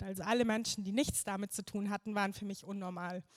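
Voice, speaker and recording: A woman's unremarkable speaking voice, fairly quick in pace and fairly even in intonation, with dry, close sound and no echo. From Bavaria, near Munich. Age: 20s. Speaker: churchgoer giving testimony. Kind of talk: testimony. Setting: stage with audience.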